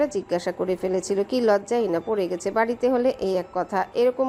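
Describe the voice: Plain reading aloud carries ordinary pitch variation.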